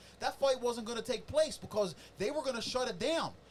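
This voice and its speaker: A loud man talks at a very fast pace in an animated tone over noticeable background noise. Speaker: combat sports commentator. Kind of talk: casual chat. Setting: studio.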